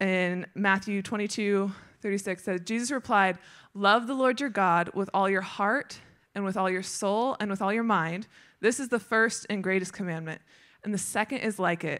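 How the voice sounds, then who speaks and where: The background is quiet. Against it, a woman speaks at a moderate pace, her pitch varying in an ordinary way. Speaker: speaker. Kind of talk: sermon. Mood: warm, light laughter. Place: stage. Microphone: handheld.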